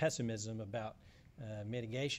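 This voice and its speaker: Audible room echo surrounds a man speaking at a moderate pace in a medium pitch with fairly even intonation. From South Louisiana. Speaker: environmental policy advocate. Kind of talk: panel talk. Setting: conference panel with audience. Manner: halting, many fillers.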